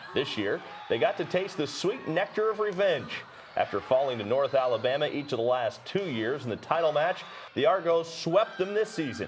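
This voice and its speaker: A man talks at a moderate pace with a fairly high pitch. Noticeable background noise runs underneath. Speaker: sports broadcaster. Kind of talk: studio hosting.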